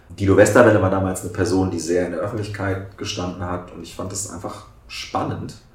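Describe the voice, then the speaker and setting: Amid noticeable background noise and audible room echo, a man with a very deep, low pitch speaks at a fairly quick pace in a monotone, flat delivery with big swings in loudness. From southern Lower Saxony, Germany. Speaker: member of parliament. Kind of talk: casual interview.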